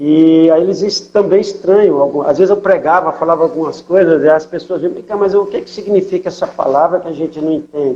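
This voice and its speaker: This man has a high pitch and a dark, mellow tone, talking at a moderate pace with ordinary pitch variation. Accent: São Paulo. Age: 60s. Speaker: missionary pastor. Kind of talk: interview testimony.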